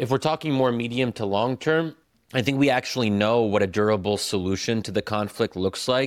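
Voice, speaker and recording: A man with an American accent talks at a fairly quick pace in a plain, everyday voice, medium in pitch with ordinary pitch variation. The recording is very clean, dry and close, with a silent background and no echo. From United States. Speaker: author and newspaper editorial writer. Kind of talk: interview conversation.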